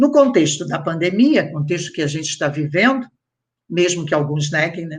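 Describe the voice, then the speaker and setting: The intonation rises and falls in a lively way. There is a somewhat breathy quality to the voice. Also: woman, fairly low pitch for a woman, moderate pace. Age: 60s. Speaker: historian and professor. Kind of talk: panel discussion.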